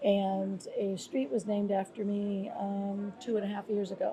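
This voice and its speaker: At a fairly slow pace, a woman speaks with fairly even intonation over noticeable background noise. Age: 60s. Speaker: former police commissioner and nonprofit leader. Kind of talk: interview. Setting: on location in Salvador, Brazil.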